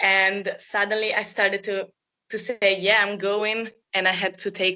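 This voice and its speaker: A woman speaks at a medium pitch with an Italian accent. Her tone is bright and sharp, and her intonation is monotone and flat. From Italy. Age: 20s. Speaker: former au pair. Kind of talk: interview.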